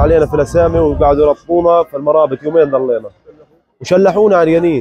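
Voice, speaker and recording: Over a quiet background, a man talks fairly quickly at a fairly high pitch with fairly even intonation. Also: dry sound with no echo. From Gaza, Palestine; Palestine. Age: 20s. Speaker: released detainee. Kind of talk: testimony. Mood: grave, recounting abuse. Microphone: lapel.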